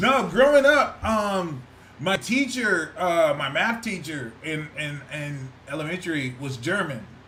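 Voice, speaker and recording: The loud, animated voice moves through very wide pitch swings, with audible room echo and noticeable background noise. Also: man. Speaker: podcast co-host. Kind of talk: casual chat.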